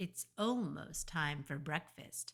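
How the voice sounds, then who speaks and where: A growling, put-on character voice at a middle pitch. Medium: read story. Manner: growling, sly.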